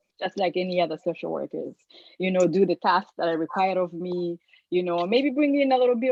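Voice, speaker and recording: With a non-native accent, a woman talks, her pitch varying in an ordinary way. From Africa. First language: not English. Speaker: social work student. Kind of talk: casual chat.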